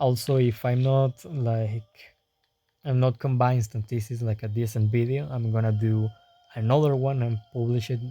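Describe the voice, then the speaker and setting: A man with a non-native accent speaks at a moderate pace in a medium pitch, his dark, mellow tone somewhat breathy and his intonation monotone and flat. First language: not English. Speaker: gaming youtuber. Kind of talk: improvised game guide. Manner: halting, stuttering.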